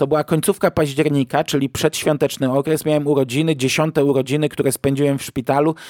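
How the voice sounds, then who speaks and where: This man speaks very fast at a fairly high pitch, with hardly any pauses, a monotone, flat delivery, very even loudness and a dry, close sound with no echo. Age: 40s. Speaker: podcast host, film reviewer. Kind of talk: solo film review podcast.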